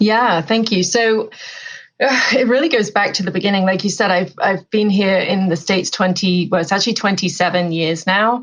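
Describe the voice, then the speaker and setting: A woman with an English accent speaks at a moderate pace and a medium pitch. Her pitch varies in an ordinary way, and her loudness stays very even. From England. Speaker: author and life coach. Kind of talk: podcast interview.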